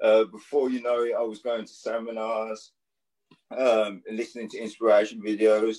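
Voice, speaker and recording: A man's dark, mellow tone at medium pitch, monotone and flat in intonation, moderate in pace, with big swings in loudness. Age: 30s. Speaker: entrepreneur living with Parkinson's. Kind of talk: casual interview.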